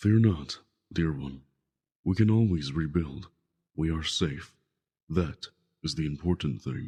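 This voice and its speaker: A man's put-on character voice, very deep and low in pitch, at a fairly slow pace with ordinary pitch variation and long, frequent pauses. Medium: audio drama. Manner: calm, reassuring.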